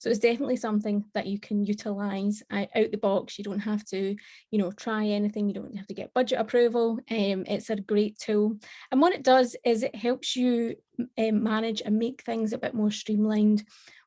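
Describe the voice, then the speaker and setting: A woman with a Scottish accent speaks at a fairly quick pace in a fairly high, somewhat breathy voice with a dark, mellow tone and flat, monotone intonation, recorded very cleanly over a silent background. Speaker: tech conference speaker. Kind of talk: tech presentation.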